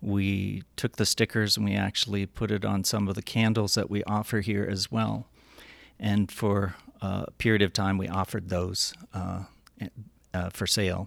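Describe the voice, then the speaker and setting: With an American accent, a man speaks at a moderate pace and a fairly low pitch in a monotone, flat intonation, on a very clean recording with a silent background and a dry, close sound with no echo. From Northern Cheyenne Reservation, Montana. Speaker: architect and shop owner. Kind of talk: interview. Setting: in a shop.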